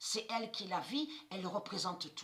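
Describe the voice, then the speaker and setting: A woman speaks with lively intonation. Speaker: esoteric video channel host. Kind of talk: monologue to viewers. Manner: halting, repetitive.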